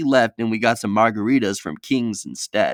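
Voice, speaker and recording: A man's voice with a dry, close sound and no echo. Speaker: storytelling YouTuber. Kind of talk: casual storytelling. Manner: fast; animated.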